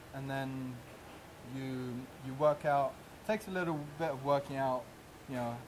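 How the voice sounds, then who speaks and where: A man's medium-pitched voice with a London accent, fairly even intonation, a moderate pace and long, frequent pauses. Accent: English (southern, London). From England. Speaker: chef. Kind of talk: interview. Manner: halting.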